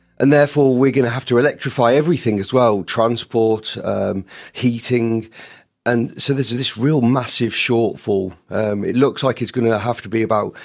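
With a British accent, a man speaks at a medium pitch and moderate pace with fairly even intonation, on a very clean recording with a silent background. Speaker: space power lead. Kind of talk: panel interview discussion.

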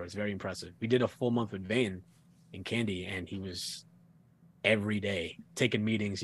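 An American man with an unremarkable speaking voice talks at a fairly quick pace in a fairly low pitch. His intonation is fairly even, and the recording is very clean with a silent background. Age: 20s. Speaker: hardcore band frontman. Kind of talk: casual chat.

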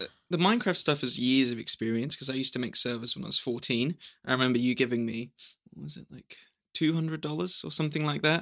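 Talking at a very fast pace, a man with a medium-pitched, bright, sharp tone shows ordinary pitch variation and big swings in loudness. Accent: New Zealand. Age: 20s. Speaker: young teacher and videographer. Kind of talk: casual chat. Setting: home recording with family.

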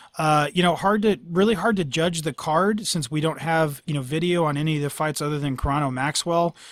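This man has a plain, everyday voice at a fairly high pitch. He talks at a fairly quick pace with ordinary pitch variation. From Northern California. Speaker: MMA podcast host. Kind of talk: casual chat.

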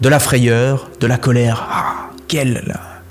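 Music plays in the background. A man is speaking. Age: 30s. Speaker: personal development teacher. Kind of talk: video monologue.

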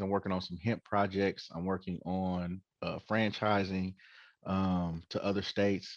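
The background is quiet as a man talks at a fairly slow pace in an American accent. His pitch is fairly low, and it is a plain, everyday voice. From Oakland, California. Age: 40s. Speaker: dispensary owner. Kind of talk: casual interview.

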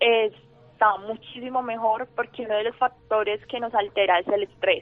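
With music in the background, a woman speaks at a fairly slow pace in a fairly high pitch and monotone, flat intonation. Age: 20s. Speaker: student sharing her illness story. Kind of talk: radio interview, personal testimony.

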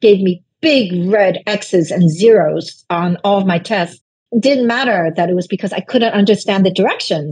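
Somewhat breathy and medium in pitch, a woman speaks with a Chinese accent at a fairly slow pace with ordinary pitch variation. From Brooklyn, New York (immigrant from China). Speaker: novelist. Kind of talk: interview.

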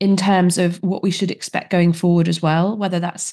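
This woman talks at a fairly quick pace in a dark, mellow tone with monotone, flat intonation. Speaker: podcast host. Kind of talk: interview.

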